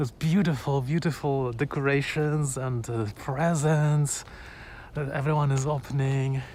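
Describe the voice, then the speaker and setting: A man's medium-pitched voice with a Polish accent. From Poland. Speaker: vlogger. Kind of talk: casual live-stream chat. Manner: hesitant, many fillers and repetitions.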